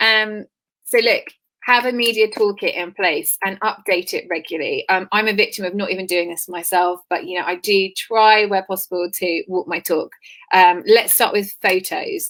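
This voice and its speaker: At a moderate pace, a woman at medium pitch speaks with ordinary pitch variation in an ordinary speaking voice. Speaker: PR expert and business founder. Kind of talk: webinar talk.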